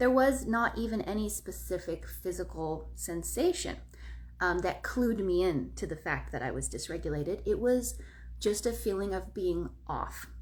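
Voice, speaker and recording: Moderately paced female speech in a space with audible room echo. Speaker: wellness content creator. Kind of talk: casual live video talk. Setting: live video on social media. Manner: melodic, expressive intonation.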